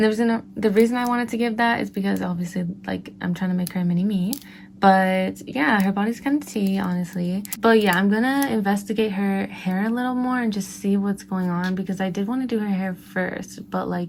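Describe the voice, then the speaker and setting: Somewhat breathy and at medium pitch, a woman speaks at a fairly quick pace with ordinary pitch variation and hardly any pauses. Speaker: beauty and craft vlogger. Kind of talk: casual craft tutorial. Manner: restricted mouth movement, careful speech; chatty, animated.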